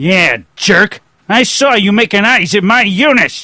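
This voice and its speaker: A man uses a put-on character voice at a high pitch, raised and projected. His pace is fairly slow and his loudness very even. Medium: video game. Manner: aggressive, blustering.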